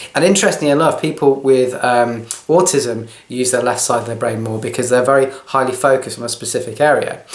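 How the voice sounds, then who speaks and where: Amid noticeable background noise and audible room echo, a man talks very fast at a medium pitch with hardly any pauses and ordinary pitch variation. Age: 40s. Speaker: video blogger, training consultant and health coach. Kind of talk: personal talk to camera. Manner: hesitant, with fillers.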